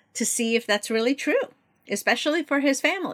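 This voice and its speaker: Her tone bright and sharp, a woman speaks with a Korean accent and very wide pitch swings. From South Korea (Seoul), raised from age 11 in Baltimore area. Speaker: novelist. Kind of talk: interview.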